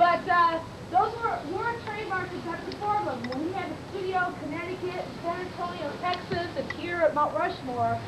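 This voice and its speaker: A woman talks at a moderate pace in an extremely high pitch, with ordinary pitch variation and hardly any pauses. The recording has audible room echo and noticeable background noise. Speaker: park tour guide. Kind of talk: guided tour talk. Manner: loud; long-winded.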